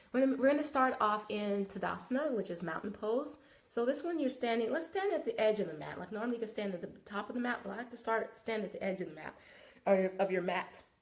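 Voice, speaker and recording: A woman's very fast speech with lively intonation over noticeable background noise. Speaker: wellness and yoga instructor. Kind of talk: live broadcast, guided yoga instruction. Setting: live video broadcast. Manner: casual, chatty.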